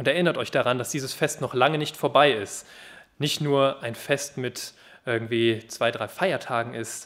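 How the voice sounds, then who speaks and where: On a very clean recording with a silent background, a man speaks fairly slowly at a medium pitch. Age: 20s. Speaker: youth worker at a Bible translation organisation, guest preacher. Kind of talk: sermon.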